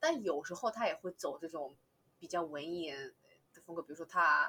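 A woman talks at a fairly quick pace. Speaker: regular podcast guest. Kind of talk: casual chat.

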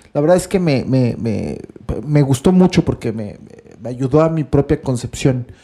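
In a Mexican accent, a man talks fairly slowly with a fairly high pitch, a dark, mellow tone, and lively intonation. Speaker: podcast co-host, writer. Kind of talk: casual chat. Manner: halting, repeats words.

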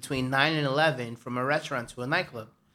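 A bright, sharp voice with a New York accent and ordinary pitch variation, on a very clean recording with a silent background. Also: man. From New York, Harlem. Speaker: bartender. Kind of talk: casual chat. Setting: studio.

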